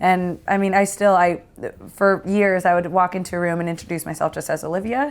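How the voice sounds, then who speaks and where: A plain, everyday voice at a fairly quick pace with fairly even intonation, on a very clean recording with a silent background. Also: woman, medium pitch for a woman. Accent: American. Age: 30s. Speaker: sports broadcaster. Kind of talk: casual chat.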